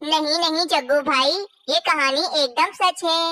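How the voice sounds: At a moderate pace, a female-sounding cartoonish character voice speaks at an extremely high pitch.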